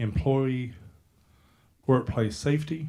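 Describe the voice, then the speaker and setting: A man speaks at a fairly slow pace with a dark, mellow tone and a somewhat breathy quality. His pitch is medium, with ordinary variation. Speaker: county parks and recreation director. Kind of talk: presentation to a county board. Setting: public meeting room, speaking into a handheld mic.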